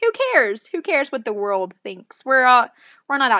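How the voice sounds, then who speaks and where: A woman with an American accent sounds animated, her tone bright and sharp, in a very clean recording with a silent background and a dry, close sound with no echo. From Oklahoma. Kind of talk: devotional monologue.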